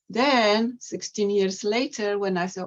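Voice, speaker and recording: This speaker, with a Polish accent, talks fairly slowly with ordinary pitch variation. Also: woman. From Poland. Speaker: poet and translator. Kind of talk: poetry reading presentation.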